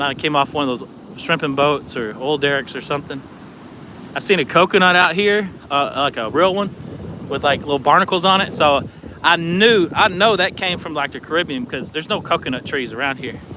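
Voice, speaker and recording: Someone with an American accent talks at a fairly quick pace. Noticeable background noise can be heard. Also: man, fairly high pitch for a man, ordinary pitch variation. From Texas, Dallas area. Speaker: vlogger. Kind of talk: live stream casual talk. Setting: outdoors on a beach. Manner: casual, rambling.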